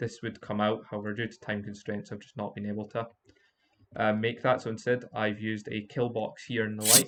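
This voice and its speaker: Big swings in loudness mark this man's fairly low, monotone, flat delivery. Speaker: game design student. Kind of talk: game walkthrough commentary. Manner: hesitant, stuttering, many fillers.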